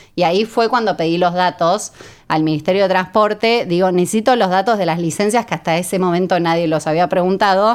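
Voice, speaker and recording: Her voice is a normal speaking voice, medium in pitch, with ordinary pitch variation. This woman talks at a fairly quick pace with very even loudness. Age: 40s. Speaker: founder of a women drivers community. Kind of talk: interview.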